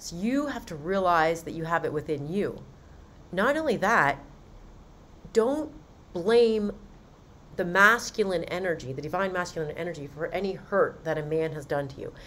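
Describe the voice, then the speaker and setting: Speaking in an American accent at a moderate pace, a woman uses a fairly low pitch, lively intonation and big swings in loudness, with long, frequent pauses. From Western Maryland, US. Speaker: podcast host telling her own story. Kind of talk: personal testimony. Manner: casual, conversational with fillers.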